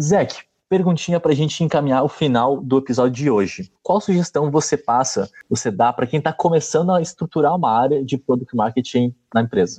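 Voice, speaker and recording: His tone dark and mellow, a man with a fairly high pitch speaks at a fairly quick pace and very even loudness, the sound dry and close with no echo. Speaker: podcast host. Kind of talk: interview.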